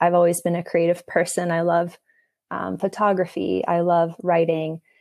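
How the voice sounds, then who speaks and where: A woman with a Canadian accent speaks at a moderate pace in a fairly low pitch with a dark, mellow tone, on a very clean recording with a silent background. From Canada, Toronto. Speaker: educator and therapist in training. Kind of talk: casual interview. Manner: hesitant, many fillers.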